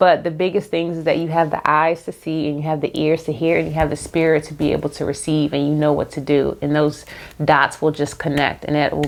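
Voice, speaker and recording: Her very deep, low voice carries vocal fry as this woman talks at a fairly quick pace in a monotone, flat delivery with hardly any pauses. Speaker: YouTuber, lifestyle and faith vlogger. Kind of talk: casual unscripted talk to camera. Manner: fast; halting, repeats herself.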